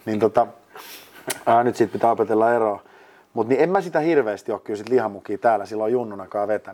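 The speaker is a man with a dark, mellow tone. His pace is very fast. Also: medium pitch for a man, ordinary pitch variation. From Finland, Lahti. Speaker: ice hockey studio host and producer. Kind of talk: casual interview. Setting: mini studio.

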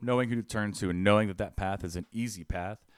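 Talking at a very fast pace, a man with a fairly low pitch uses ordinary pitch variation and an energetic tone in a dry, close sound with no echo. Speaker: housing advocate. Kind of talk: podcast interview, personal testimony. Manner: energetic, loud.

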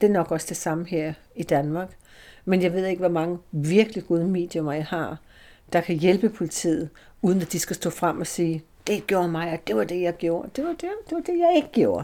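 Fairly low-pitched woman's voice, dark and mellow in tone, at a moderate pace with ordinary pitch variation, on a very clean recording with a silent background. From Denmark, Slagelse. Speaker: spiritualist medium. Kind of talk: interview. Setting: church room, window open.

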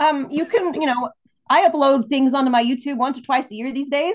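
A woman speaks with an American accent. Her pitch is high and varies in an ordinary way. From El Paso, Texas. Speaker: singer-songwriter. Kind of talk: casual interview conversation.

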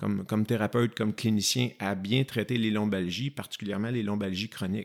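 Heard in a very clean recording with a silent background, a man uses an ordinary speaking voice, fairly low in pitch, at a moderate pace. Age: 40s. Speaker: physiotherapist. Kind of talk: interview.

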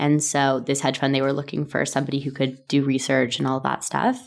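A woman speaks in a Canadian accent with vocal fry. Her pitch is very deep and low. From Canada, Toronto. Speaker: company founder and CEO. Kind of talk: interview.

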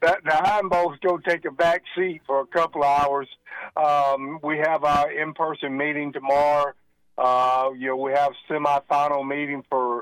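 Using a normal speaking voice, a man with a fairly high pitch talks at a moderate pace with fairly even intonation, the sound dry and close with no echo. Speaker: state athletic association executive director. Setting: phone call.

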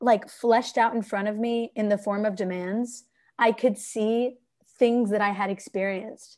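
In an unremarkable speaking voice, a woman with an American accent talks at a fairly slow pace, her pitch fairly high with ordinary variation, over a quiet background. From US West Coast, Bay Area California. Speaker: acting student. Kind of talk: interview.

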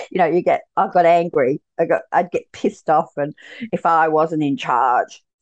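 At a moderate pace, a woman speaks with a fairly low pitch and ordinary pitch variation. The sound is dry and close, with no echo. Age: 60s. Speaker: journey practitioner and results coach. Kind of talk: casual interview chat. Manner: animated, bubbly.

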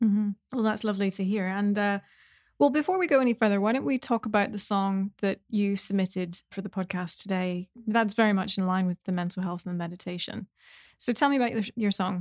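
A woman with an American accent talks in a normal speaking voice at a fairly quick pace, her pitch medium with ordinary variation. The recording is very clean, with a silent background and a dry, close sound with no echo. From New York City. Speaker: podcast host, musician. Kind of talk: interview. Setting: virtual interview.

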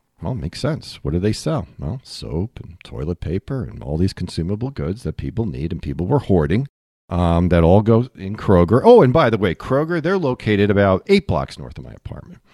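A man with a fairly low, dark, mellow voice talks at a fairly quick pace with hardly any pauses. His pitch swings very widely, his loudness shifts a lot, and vocal fry comes through. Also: dry, close sound with no echo, very clean recording, silent background. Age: 50s. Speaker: financial advisor. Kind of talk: casual chat. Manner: halting.

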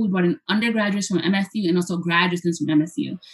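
Very fast, somewhat breathy delivery with ordinary pitch variation. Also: woman. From Hoboken, New Jersey, US; Puerto Rican family. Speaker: professor. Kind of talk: interview, presenting with slides.

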